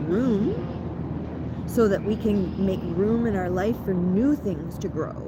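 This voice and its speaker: Noticeable background noise and audible room echo accompany a woman speaking with an American accent. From Ontario, Canada. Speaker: spiritual content creator. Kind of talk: guided ritual talk. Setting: outdoors in a park. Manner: casual, animated.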